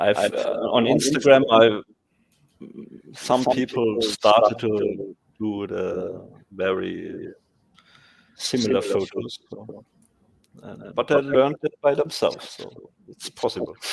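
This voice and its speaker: A man with a German accent talks at a very slow pace, with long, frequent pauses and big swings in loudness. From Germany. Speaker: photographer and software developer. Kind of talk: casual interview. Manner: halting, searching for words.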